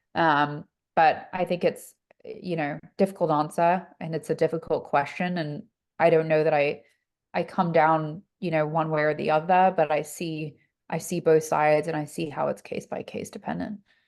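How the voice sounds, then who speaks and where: This woman has a very deep, low voice and fairly even intonation. She speaks with an English accent. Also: moderate pace, quiet background. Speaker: health-tech investor, former reporter. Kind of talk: fireside chat interview. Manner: casual, many fillers.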